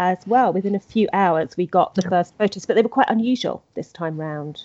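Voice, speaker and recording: A woman with an English accent speaks at a medium pitch with lively intonation. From England. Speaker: podcast host, royal news editor. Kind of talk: casual chat.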